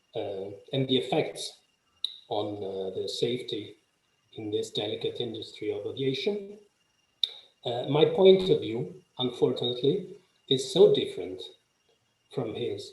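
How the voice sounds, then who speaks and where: A fairly slow delivery with long, frequent pauses, big swings in loudness and audible room echo. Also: man. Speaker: legal professional speaking on aviation justice. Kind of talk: conference presentation. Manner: halting, many fillers.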